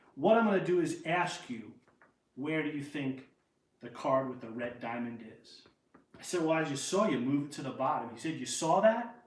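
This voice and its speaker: Audible room echo surrounds a man with a New York accent who speaks at a moderate pace with fairly high pitch, lively intonation and big swings in loudness. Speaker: magician. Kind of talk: magic performance patter, storytelling. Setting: live stream show. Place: home room.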